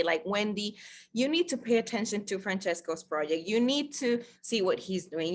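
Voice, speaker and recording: A woman's bright, sharp voice with a Spanish accent and ordinary pitch variation. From Costa Rica. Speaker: network marketer. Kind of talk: sales pitch. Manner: halting.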